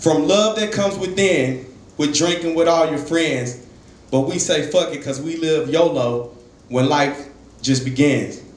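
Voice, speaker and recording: A man speaks at a fairly slow pace. Audible room echo is present. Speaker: spoken word poet. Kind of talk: spoken word poetry performance. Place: stage.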